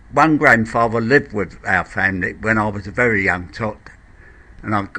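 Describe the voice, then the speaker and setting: A man with a London accent speaks at medium pitch and a moderate pace, with lively intonation and a bright, sharp tone. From Blackheath, south-east London. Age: 70s. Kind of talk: interview answer.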